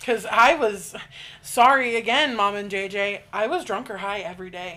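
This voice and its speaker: A woman's voice rises and falls sharply in loudness against noticeable background noise. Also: medium pitch for a woman, ordinary pitch variation, moderate pace. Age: 20s. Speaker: podcast co-host. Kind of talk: casual chat.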